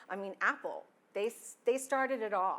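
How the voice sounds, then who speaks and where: Fairly high in pitch, a woman speaks in a Texas accent on a very clean recording with a silent background. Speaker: IT security and compliance officer. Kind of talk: conference talk.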